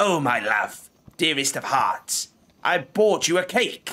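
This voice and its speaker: A man puts on a croaky character voice with a high pitch. He talks at a fairly slow pace. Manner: croaking.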